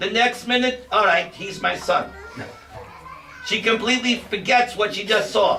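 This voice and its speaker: Over noticeable background noise and audible room echo, a man speaks in a raised, projected voice. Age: 60s. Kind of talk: spiritual lecture.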